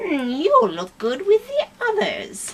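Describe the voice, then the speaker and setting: A female-sounding voice is put on as a character at an extremely high pitch. It moves at a fairly slow pace. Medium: read story. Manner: prim and haughty.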